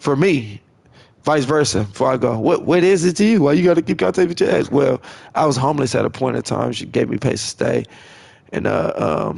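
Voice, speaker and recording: Vocal fry runs through this man's fairly high voice. He moves at a fairly quick pace with very wide pitch swings. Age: 30s. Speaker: gaming livestreamer. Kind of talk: casual monologue while gaming.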